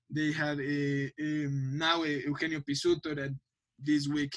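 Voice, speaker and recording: A man with a non-native accent speaks in a bright, sharp tone. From Mexico, Mexico City. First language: Spanish. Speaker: football pundit. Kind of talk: podcast interview. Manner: halting, many repetitions.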